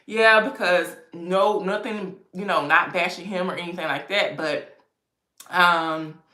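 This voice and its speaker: With an American accent, a woman speaks at a fairly slow pace in a medium pitch. Audible room echo surrounds her voice. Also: ordinary pitch variation. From US East Coast. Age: 30s. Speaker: lifestyle YouTuber. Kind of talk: livestream chat. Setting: home livestream with ring light. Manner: casual, conversational.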